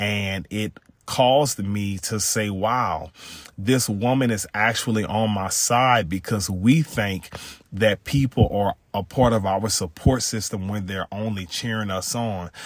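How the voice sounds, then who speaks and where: A man with an American accent speaks in a plain, everyday voice, at a fairly low pitch with ordinary pitch variation and a fairly slow pace. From Louisiana, US South. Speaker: podcast host. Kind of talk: solo podcast monologue on faith and mental health. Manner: frequent filler words, preacher-like cadence.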